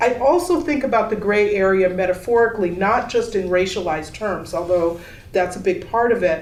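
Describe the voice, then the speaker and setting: Over noticeable background noise and audible room echo, a woman with a medium-pitched voice talks at a fairly quick pace, her intonation lively and her loudness very even. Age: 60s. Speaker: exhibiting artist. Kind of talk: panel discussion. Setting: gallery panel with audience.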